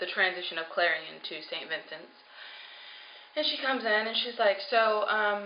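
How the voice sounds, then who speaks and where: A woman speaks at a moderate pace and medium pitch with ordinary pitch variation, and audible room echo surrounds her voice. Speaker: vlogger on weight loss surgery journey. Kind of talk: personal video diary.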